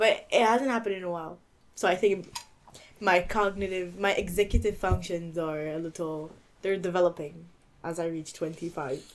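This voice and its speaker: A woman has a normal speaking voice with a fairly low pitch. Her pitch variation is ordinary. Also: moderate pace. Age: 20s. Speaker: podcast co-host. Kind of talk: casual chat.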